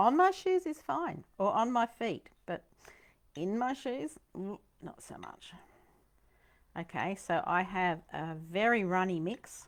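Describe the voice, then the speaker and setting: With a Queensland accent, a woman speaks at a very slow pace and medium pitch. Her intonation is lively, and the recording is very clean with a silent background. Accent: Australian (Queensland). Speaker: painting teacher. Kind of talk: tutorial. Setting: studio. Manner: animated.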